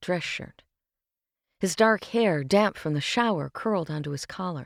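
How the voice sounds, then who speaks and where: A plain, everyday voice moves at a moderate pace with lively intonation. The sound is dry and close with no echo, on a very clean recording with a silent background. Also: woman. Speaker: voice actor, audiobook narrator. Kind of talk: audiobook narration, fiction reading.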